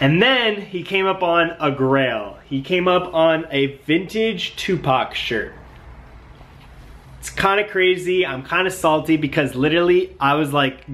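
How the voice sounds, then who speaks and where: Ordinary pitch variation in a male speaker's voice. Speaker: vintage clothing reseller vlogger. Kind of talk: casual vlog chat. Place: home room. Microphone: phone near.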